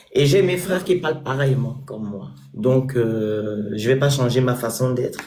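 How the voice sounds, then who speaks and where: A man speaks fairly slowly with lively intonation and a dark, mellow tone. The room has audible echo. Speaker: social media personality and charity founder. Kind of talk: interview.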